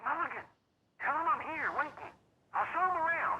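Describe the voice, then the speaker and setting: The pitch is extremely high in this put-on character voice. Its pace is fairly quick. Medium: video game. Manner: blunt, crude.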